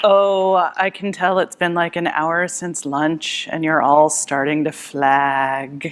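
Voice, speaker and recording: The woman's pitch is very deep and low. She talks at a very slow pace with hardly any pauses. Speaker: conference speaker. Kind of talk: conference talk. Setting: stage with audience. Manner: animated.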